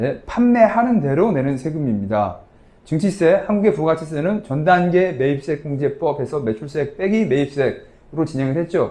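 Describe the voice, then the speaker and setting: Mumbling at a moderate pace, a man with a high pitch and a dark, mellow tone speaks with lively intonation. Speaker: tax lecturer. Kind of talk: lecture. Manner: casual conversational.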